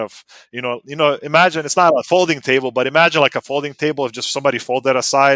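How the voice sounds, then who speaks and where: A man with a Serbo-Croatian accent talks very fast at medium pitch, his bright, sharp tone showing ordinary pitch variation in a very clean recording with a silent background and a dry, close sound with no echo. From US South (North Carolina), born in Bosnia. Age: 30s. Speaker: automotive writer and racer. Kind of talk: casual chat.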